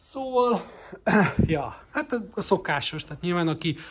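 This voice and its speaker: The man's speech moves at a fairly slow pace with ordinary pitch variation. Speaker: vlogger. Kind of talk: travel vlog. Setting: outdoors. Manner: halting.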